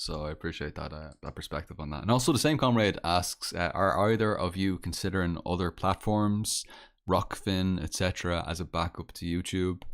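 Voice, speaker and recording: In a Dublin accent, a man speaks with a very deep, low pitch and ordinary pitch variation on a very clean recording with a silent background. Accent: Dublin Irish. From Ireland, Dublin. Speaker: podcast host. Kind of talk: casual chat. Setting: live stream. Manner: halting, repetitive.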